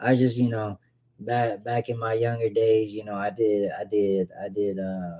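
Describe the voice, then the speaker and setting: In a very clean recording with a silent background, a man with a Southern US accent speaks at a fairly slow pace in a fairly low pitch, his tone relaxed, dark and mellow and his intonation fairly even. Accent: Southern US (Georgia). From US South, Georgia. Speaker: fragrance streamer. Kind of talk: casual livestream chat. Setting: live stream. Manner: relaxed, slangy.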